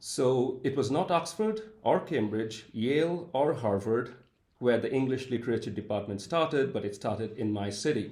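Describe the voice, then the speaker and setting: A man speaks at a moderate pace and medium pitch, his voice somewhat breathy. His intonation is lively. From India, Calcutta. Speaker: professor. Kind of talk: interview.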